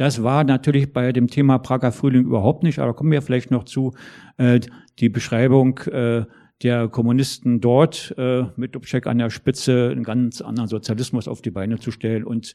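This man has a normal speaking voice at a medium pitch, speaking at a moderate pace with fairly even intonation. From East Germany. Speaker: former civil rights activist and historian. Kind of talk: panel discussion. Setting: stage with audience.

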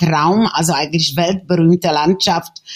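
She speaks with a Czech accent at a fairly slow pace. The woman's pitch is medium. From Czechoslovakia. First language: Czech (speaking German). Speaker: painter and photographer. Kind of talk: interview. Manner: halting.

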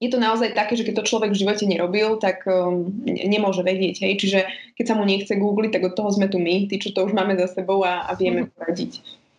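A woman's medium-pitched voice at a very fast pace, monotone and flat in intonation, with very even loudness. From eastern Slovakia, Spišská Nová Ves. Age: 30s. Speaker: home organizing and upcycling influencer. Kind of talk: casual interview.

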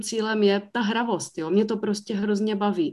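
A normal speaking voice at a moderate pace. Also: woman. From Czech Republic, South Moravia (Mikulov). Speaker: brewery owner. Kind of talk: interview.

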